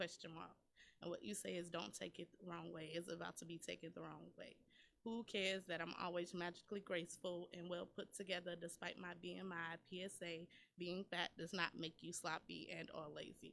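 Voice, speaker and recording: A woman with an American accent speaks fairly quickly at a fairly low pitch. Her delivery is monotone and flat, with vocal fry. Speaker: poet. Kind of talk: spoken word poetry performance; casual radio chat. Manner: storytelling, narrating; sassy.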